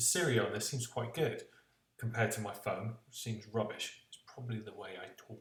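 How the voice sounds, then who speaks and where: A man speaks at a medium pitch with fairly even intonation. There is audible room echo in the recording. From West Country of England. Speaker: tech reviewer. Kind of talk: product review vlog. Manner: hesitant, many fillers.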